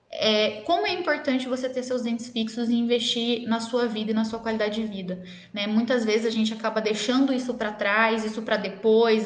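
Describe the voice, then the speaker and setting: A woman's fairly high, fairly even voice with hardly any pauses, amid audible room echo and noticeable background noise. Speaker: dentist. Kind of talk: live stream Q&A talk. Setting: live stream. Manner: fast.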